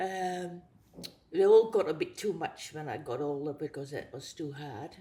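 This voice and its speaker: Fairly slow speech from a woman, somewhat breathy, with a dark, mellow tone. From Netherlands. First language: Dutch. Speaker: abstract artist. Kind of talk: interview. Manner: halting.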